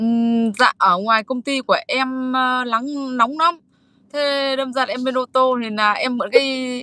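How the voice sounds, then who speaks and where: Against a quiet background with a dry sound and no echo, a woman projects a raised voice at a high pitch, her tone bright and sharp, her intonation fairly even and her pace fairly slow. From northern Vietnam, Hải Dương; Vietnam. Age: 50s. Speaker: woman searching for husband's birth mother; guest. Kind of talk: interview. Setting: video call from a car at her workplace. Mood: earnest, emotional. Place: car. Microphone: video call.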